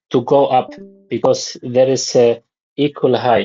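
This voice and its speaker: This speaker talks at a very slow pace with a non-native accent. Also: man. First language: not English. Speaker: trading student. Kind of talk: casual chat. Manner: halting.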